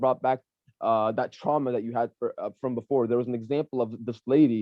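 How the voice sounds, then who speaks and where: This man talks at a very fast pace in a medium pitch, with ordinary pitch variation. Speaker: psychology student and mental health worker. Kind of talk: casual chat. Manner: long run-on stretches without pausing for breath.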